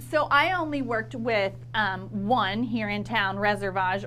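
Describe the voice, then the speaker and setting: With music in the background and audible room echo, a woman talks in a slight country accent. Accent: slight country twang. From northern Florida, Lafayette County. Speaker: marketing consultant. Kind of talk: casual interview chat.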